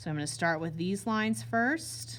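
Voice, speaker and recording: A woman at a fairly low pitch, somewhat breathy, with very wide pitch swings at a moderate pace and audible room echo. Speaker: art teacher. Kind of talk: classroom demonstration tutorial. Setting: classroom with students.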